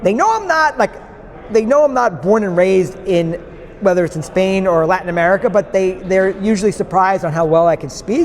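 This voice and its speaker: Noticeable background noise surrounds this recording. A man with a New York accent speaks at a high pitch. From New York State, outside New York City. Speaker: podcast guest. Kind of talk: interview conversation. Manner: many fillers and restarts.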